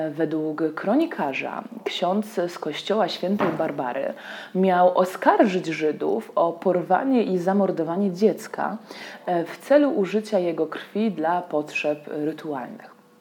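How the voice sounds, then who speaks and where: A woman at a medium pitch with lively intonation and a very slow pace, over noticeable background noise. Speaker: tour guide. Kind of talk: scripted narration. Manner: formal.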